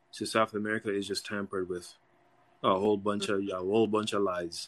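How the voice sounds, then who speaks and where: A man speaks fairly quickly in a fairly low voice. The background is quiet. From Jamaica. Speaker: caller. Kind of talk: casual chat.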